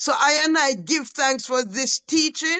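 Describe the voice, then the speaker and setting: A woman speaks in a raised, projected voice. Her tone is bright and sharp, and her pitch is high. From Jamaica. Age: 60s. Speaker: Rastafarian community elder. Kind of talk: public lecture remarks.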